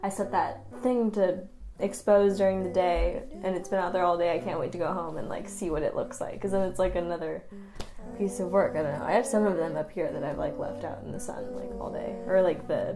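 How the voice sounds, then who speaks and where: Through audible room echo and noticeable background noise, a woman talks at a fairly quick pace with lively intonation. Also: medium pitch for a woman. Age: 20s. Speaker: art student. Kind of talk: casual talk to camera. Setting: at home in her studio space at night.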